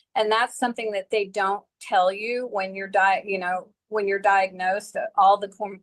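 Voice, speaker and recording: A plain, everyday voice from a woman at medium pitch, with fairly even intonation and a moderate pace, in a dry, close sound with no echo. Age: 60s. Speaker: chronic pain patient and advocate. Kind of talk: panel discussion testimony.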